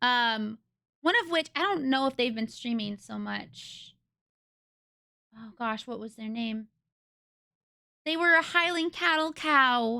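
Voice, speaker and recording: A woman with an American accent has a high pitch, a bright, sharp tone and lively intonation. She talks at a fairly slow pace with long, frequent pauses and big swings in loudness. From US West Coast. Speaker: streamer. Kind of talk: casual chat answering live chat questions. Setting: live stream.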